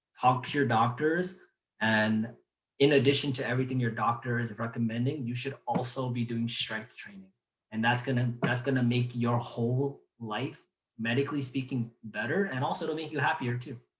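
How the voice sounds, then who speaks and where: With fairly even intonation, a man talks in a voice that is somewhat breathy. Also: medium pitch for a man. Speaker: physical therapist. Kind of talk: webinar lecture. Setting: live webinar. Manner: fast.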